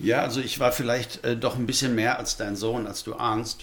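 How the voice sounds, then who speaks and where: Talking at a fairly slow pace, a man has a normal speaking voice at a medium pitch. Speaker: pastor. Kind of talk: interview. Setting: studio.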